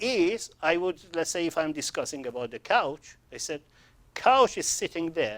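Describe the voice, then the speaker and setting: A man's high-pitched voice with very wide pitch swings and a non-native accent, at a moderate pace. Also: very clean recording, silent background. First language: not English. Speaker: sales trainer. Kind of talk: training seminar. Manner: halting.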